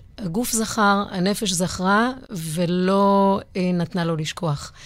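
This is a woman speaking at a medium pitch. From Israel (Givatayim). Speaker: psychologist and dancer. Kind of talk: interview conversation. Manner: halting, with many fillers.

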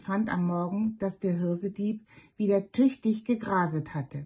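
The voice is somewhat breathy and calm, with a soothing tone, ordinary pitch variation and a fairly slow pace. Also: woman. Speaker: storyteller reading fairy tales aloud. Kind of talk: bedtime story reading, fairy tale narration. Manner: calm, slow, soothing storyteller's cadence.

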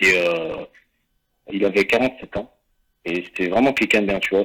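A man's voice sits at a fairly low pitch. He speaks fairly slowly. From France, Saint-Etienne. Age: 20s. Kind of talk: interview. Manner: halting.

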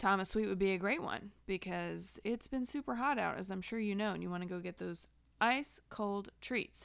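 A woman's plain, everyday voice at a medium pitch, with ordinary pitch variation, a fairly slow pace, and a very clean recording with a silent background. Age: 30s. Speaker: librarian and podcast host. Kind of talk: community announcements podcast.

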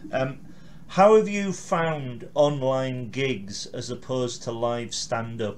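A man speaks at a very slow pace with lively intonation. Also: medium pitch for a man. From Carlisle, northern England. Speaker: interviewer, blogger and podcast host. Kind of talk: casual interview.

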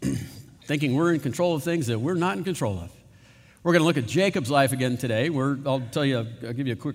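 Someone is reading aloud in a natural voice. The delivery is unhurried by nothing else noted.

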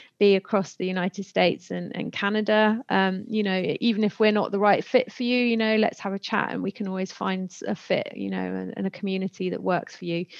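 Speaking at a moderate pace, a woman has a British accent and medium pitch. The sound is dry and close with no echo, against a quiet background. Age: 30s. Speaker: podcast host. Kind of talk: casual interview chat.

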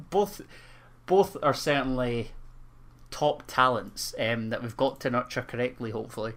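A medium-pitched man talks at a moderate pace with lively intonation and long, frequent pauses. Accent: Scottish. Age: 20s. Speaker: football podcast co-host. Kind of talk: casual chat.

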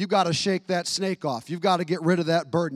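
An animated man with a high pitch is heard in a dry, close sound with no echo. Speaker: pastor. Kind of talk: sermon; rousing church sermon, conversational and punchy with jokes. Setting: church. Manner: animated, impassioned exhortation with repetition and direct appeals; folksy and casual, slangy asides.

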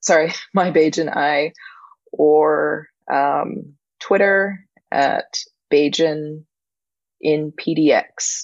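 Very slowly and with long, frequent pauses, a woman speaks at a very deep, low pitch. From Barbados. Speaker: nature photographer. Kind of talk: casual interview. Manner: halting, repetitive.

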